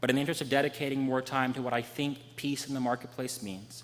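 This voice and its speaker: The speaker has an American accent and talks at a fairly quick pace. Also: man. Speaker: preacher. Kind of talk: sermon. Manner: fast; quiet.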